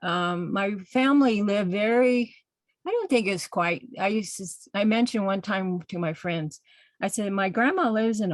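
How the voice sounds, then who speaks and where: A woman with an unremarkable speaking voice talks at a moderate pace and medium pitch, with ordinary pitch variation. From Navajo Nation, US Southwest. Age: 60s. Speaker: textile artist. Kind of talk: panel presentation. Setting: video call.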